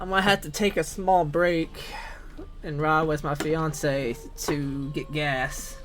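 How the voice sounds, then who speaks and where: Very slow speech in a Southern US accent with music in the background. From US South, Tennessee. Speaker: gaming streamer. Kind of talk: casual live-stream chat. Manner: casual, filler-heavy.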